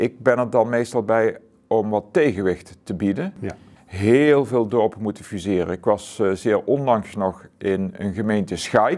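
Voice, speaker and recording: A man speaks at a fairly slow pace with a fairly low pitch and ordinary pitch variation. The background is quiet. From Zuidoost-Brabant, Netherlands; Netherlands. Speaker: author; interviewee. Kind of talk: interview. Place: studio.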